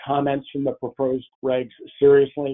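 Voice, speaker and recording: Speaking at a moderate pace, a man uses an ordinary speaking voice with a medium pitch. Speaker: retirement plan expert presenter. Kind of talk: webinar presentation. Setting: webinar broadcast.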